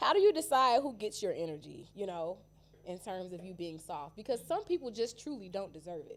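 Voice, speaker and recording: A woman with an American accent and medium pitch speaks in an animated tone at a fairly quick pace, with very wide pitch swings and big swings in loudness. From Chicago, South Side. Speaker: podcast host. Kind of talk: casual chat.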